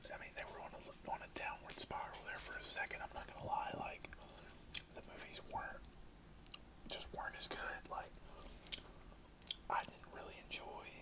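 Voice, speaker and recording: Whispering in a relaxed tone, a man goes at a moderate pace with long, frequent pauses over noticeable background noise. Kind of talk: ASMR movie review, casual talk. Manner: soft-spoken, relaxed.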